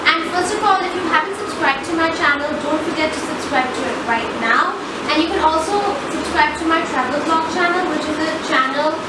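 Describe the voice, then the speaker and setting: A woman at a fairly quick pace, with audible room echo and loud background noise. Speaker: fashion vlogger. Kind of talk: casual vlog chat. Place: home room.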